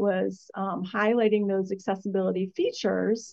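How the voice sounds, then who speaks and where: A woman's plain, everyday voice, fairly even in intonation, at a moderate pace. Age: 50s. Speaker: agency executive. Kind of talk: interview.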